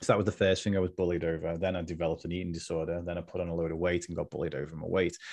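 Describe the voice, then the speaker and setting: A man with a very deep, low pitch talks very fast in a monotone, flat intonation. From Liverpool, England. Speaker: mindset coach. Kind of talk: casual interview.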